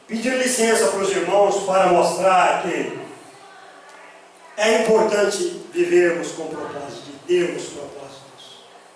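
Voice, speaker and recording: High male speech full of lively intonation, set against audible room echo and noticeable background noise. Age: 60s. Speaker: pastor. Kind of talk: sermon.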